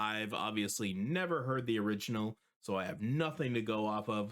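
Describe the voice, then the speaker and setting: This is a normal speaking voice at a moderate pace, with ordinary pitch variation. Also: man. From Canada. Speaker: music reaction video host. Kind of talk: casual reaction commentary.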